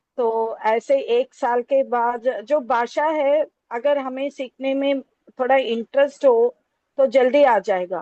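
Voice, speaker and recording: Spoken with a Telangana accent, the voice shows ordinary pitch variation. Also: woman, high pitch for a woman. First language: Telugu (speaking Hindi). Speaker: Hindi lecturer. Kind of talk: academic talk. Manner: halting, many fillers.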